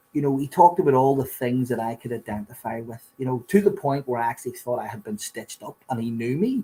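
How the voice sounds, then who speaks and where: This man has a Belfast accent and a dark, mellow tone that is somewhat breathy. His pitch sits in the medium range, and he talks at a fairly quick pace. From Northern Ireland, Belfast. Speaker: recovering addict sharing his story. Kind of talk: testimony.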